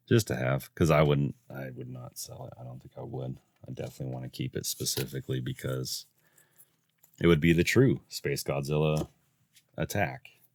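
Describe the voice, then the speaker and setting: A man speaks in a very deep, low pitch with vocal fry and ordinary pitch variation. The sound is dry and close, with no echo. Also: moderate pace. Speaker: card game unboxing youtuber. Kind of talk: casual unboxing commentary. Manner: quiet, not loud.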